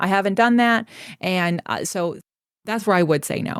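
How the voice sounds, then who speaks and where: This woman sounds animated, with a medium pitch. The recording is very clean, with a silent background and a dry, close sound that has no echo. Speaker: Pilates instructor and business coach. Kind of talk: interview. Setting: podcast. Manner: fast.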